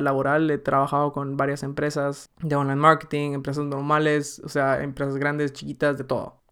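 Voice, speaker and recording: Pitched fairly high, a man talks at a moderate pace with hardly any pauses. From Guatemala. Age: 20s. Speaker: podcast host, marketer. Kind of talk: casual solo monologue. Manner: animated.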